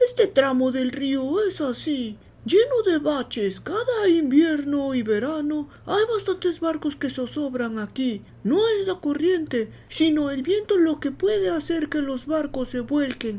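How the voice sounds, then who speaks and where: A woman performs a put-on character voice at a high pitch with very wide pitch swings. She keeps a fairly slow pace with hardly any pauses. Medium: read story. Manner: blunt, folksy.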